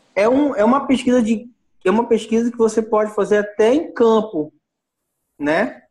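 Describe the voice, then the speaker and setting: A man's high-pitched voice at a moderate pace, with long, frequent pauses, very even loudness and ordinary pitch variation. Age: 30s. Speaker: course student. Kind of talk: casual discussion.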